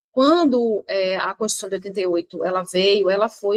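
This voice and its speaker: The audio is dry and close, with no echo. A woman does the talking. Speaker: exam prep teacher. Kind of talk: lecture. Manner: fast; animated.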